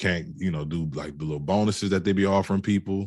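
A man's very deep, low voice with fairly even intonation over a quiet background. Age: 30s. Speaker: comedian and social media content creator. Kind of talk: casual interview.

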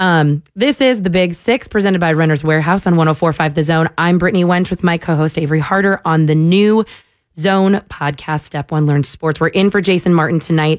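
A woman with an ordinary speaking voice talks at a fairly quick pace and a fairly low pitch, with ordinary pitch variation. Her loudness stays very even, and the recording is very clean with a silent background. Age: 20s. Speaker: sports podcast host filling in on radio. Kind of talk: casual sports talk radio.

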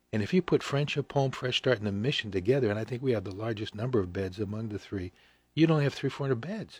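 Very fast and somewhat breathy, a man speaks at a medium pitch with ordinary pitch variation on a very clean recording with a silent background. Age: 70s. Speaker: pastor and mission director. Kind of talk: casual radio interview. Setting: radio studio.

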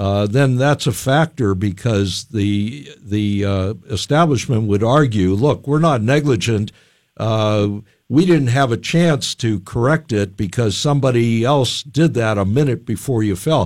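A man's ordinary speaking voice, medium in pitch, at a fairly slow pace with ordinary pitch variation. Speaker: lawyer. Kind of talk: call-in radio legal advice. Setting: radio studio.

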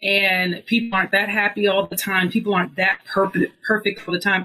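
With an American accent, a woman talks at a moderate pace in a medium pitch with a bright, sharp tone. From US, mostly Georgia. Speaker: former police officer. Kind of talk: interview testimony.

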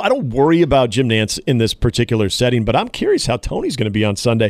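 On a very clean recording with a silent background, a man talks at a fairly quick pace with very wide pitch swings and vocal fry. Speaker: radio sports host. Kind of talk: casual sports talk radio banter. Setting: radio studio.

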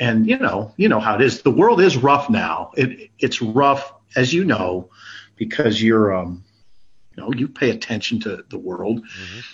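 A man with a medium pitch speaks at a moderate pace, his voice somewhat breathy. His intonation is lively, and his loudness swings widely. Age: 50s. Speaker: sportswriter. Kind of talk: casual chat.

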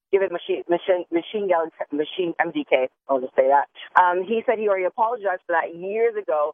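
A woman's plain, everyday voice, medium in pitch, at a moderate pace with lively intonation. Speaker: entertainment news contributor. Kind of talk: casual chat. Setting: phone call.

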